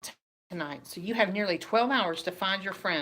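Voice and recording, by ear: The speaker reads aloud in a natural voice with ordinary pitch variation. The background is quiet.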